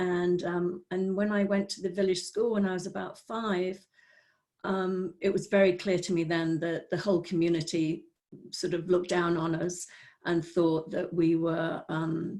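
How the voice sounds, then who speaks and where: A woman speaks with a Welsh accent in a fairly low, dark, mellow voice. Her pace is moderate and her intonation flat and monotone. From North Wales. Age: 60s. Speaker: spiritual teacher. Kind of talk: personal testimony. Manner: halting.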